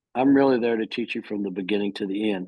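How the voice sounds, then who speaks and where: A man speaks with an American accent. His intonation stays fairly even. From Texas. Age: 60s. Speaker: firearms instructor. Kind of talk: casual chat. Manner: halting. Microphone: phone.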